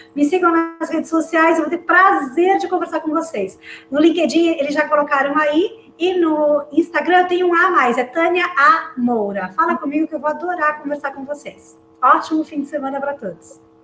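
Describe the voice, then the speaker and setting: Amid noticeable background noise, a woman talks in a high pitch at a moderate pace. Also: ordinary pitch variation. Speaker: career advisor and retail association director. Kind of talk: closing remarks at online panel. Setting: live online event.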